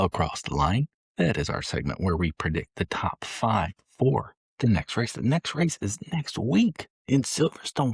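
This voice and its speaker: A man with an American accent and vocal fry, at a moderate pace, in a dry, close sound with no echo. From Michigan, US. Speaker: podcast co-host. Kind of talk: casual chat. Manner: animated.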